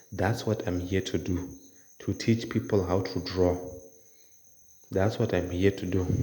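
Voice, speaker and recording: A man speaks fairly slowly in a very deep, low voice, with long, frequent pauses. His intonation is fairly even. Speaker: drawing tutor. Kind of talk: casual talk to camera. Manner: casual, conversational.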